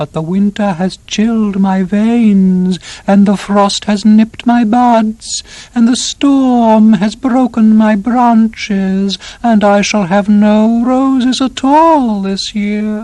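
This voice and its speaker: Someone uses a put-on character voice at a fairly high pitch, speaking at a very slow pace. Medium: audio drama. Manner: solemn, grave.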